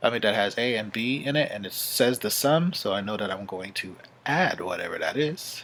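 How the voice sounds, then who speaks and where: A man speaks at medium pitch with lively intonation. Audible room echo surrounds his voice. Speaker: math teacher. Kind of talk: lecture. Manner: fast.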